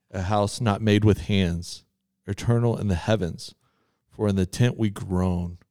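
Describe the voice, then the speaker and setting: With a Texan accent and a dark, mellow tone, a man speaks at a fairly low pitch and a fairly slow pace with fairly even intonation, on a very clean recording with a silent background. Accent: Texan Southern US. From Texas. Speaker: church podcast co-host. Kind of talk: casual chat.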